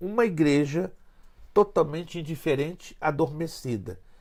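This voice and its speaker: A man talks at a very slow pace. His pitch is fairly high, with ordinary variation. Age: 60s. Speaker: pastor. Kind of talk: interview.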